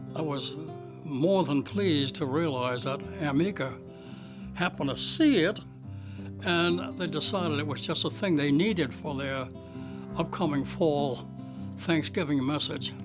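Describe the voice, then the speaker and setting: Music plays in the background as a man speaks at a fairly slow pace. His fairly high voice has lively intonation. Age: 80s+. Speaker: watercolor painter and art teacher. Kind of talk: interview answer.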